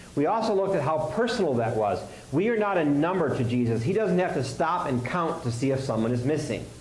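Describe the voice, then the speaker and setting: A man speaks at a very fast pace with very wide pitch swings, amid noticeable background noise and audible room echo. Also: fairly high pitch for a man, very even loudness. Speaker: pastor. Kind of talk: sermon.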